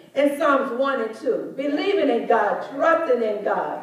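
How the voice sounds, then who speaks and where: Speaking at a fairly slow pace, a woman uses a high pitch. Light background noise and audible room echo are present. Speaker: speaker. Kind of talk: sermon. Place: church.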